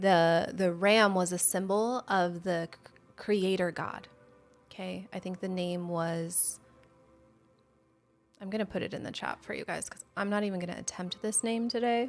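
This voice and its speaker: With music in the background, the speech has long, frequent pauses and big swings in loudness. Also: woman, medium pitch for a woman, fairly even intonation. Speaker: Bible study livestream host. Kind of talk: Bible teaching livestream. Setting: livestream with chat. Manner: slow.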